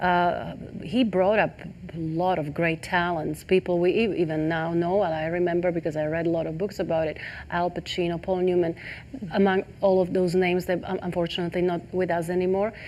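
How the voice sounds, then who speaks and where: A woman's fairly low voice, monotone and flat in intonation, at a fairly quick pace. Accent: non-native. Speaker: talk show host. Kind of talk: interview. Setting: studio set. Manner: halting.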